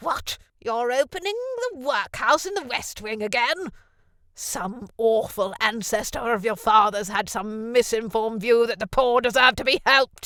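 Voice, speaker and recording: A put-on character voice, fairly high in pitch, at a moderate pace. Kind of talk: comic overacting. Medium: audio drama. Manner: haughty, blustering.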